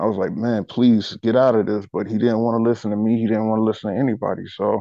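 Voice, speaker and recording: Delivering his words at a very fast pace, a man speaks at medium pitch in a monotone, flat way. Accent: American. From South Carolina. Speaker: rapper and singer. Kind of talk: podcast interview.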